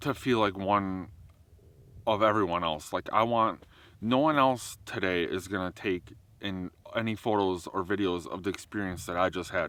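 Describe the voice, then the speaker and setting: Loud and with a bright, sharp tone, a man speaks at a fairly slow pace with ordinary pitch variation on a very clean recording with a silent background. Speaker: wildlife photographer and vlogger. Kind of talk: outdoor vlog monologue. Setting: outdoors in a national park.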